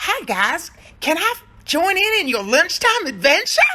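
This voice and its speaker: A put-on character voice, squeaky and extremely high, moves at a moderate pace. Its pitch swings very widely. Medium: read story.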